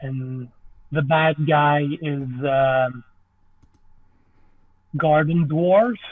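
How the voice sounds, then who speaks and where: A man with a French Canadian accent and a fairly high pitch speaks at a very slow pace. He leaves long, frequent pauses, and his pitch varies in an ordinary way. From French Canada. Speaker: movie director and stop motion artist. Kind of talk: podcast interview answer.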